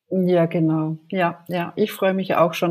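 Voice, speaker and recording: On a very clean recording with a silent background, a woman speaks at a fairly low pitch with a dark, mellow tone. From Germany. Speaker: podcast co-host, psychological counsellor. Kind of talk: casual podcast introduction.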